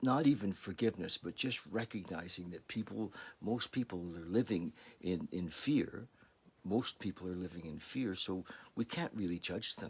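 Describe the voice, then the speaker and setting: A man talks at a moderate pace with a fairly low pitch. His is an unremarkable speaking voice with ordinary pitch variation. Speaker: recovery meditation and spirituality host. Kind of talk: casual talk to camera, spiritual sharing.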